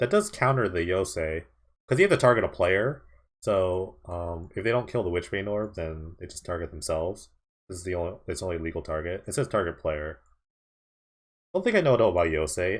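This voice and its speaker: A soft-spoken man talks at a fairly quick pace, his pitch very deep and low and his voice somewhat breathy. The recording is very clean, with a silent background. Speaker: gaming streamer. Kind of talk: live gameplay commentary. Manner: casual.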